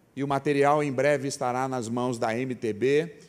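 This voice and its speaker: An unremarkable speaking voice from a man, medium in pitch, at a fairly slow pace with ordinary pitch variation. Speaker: preacher, mission organization president. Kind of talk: sermon.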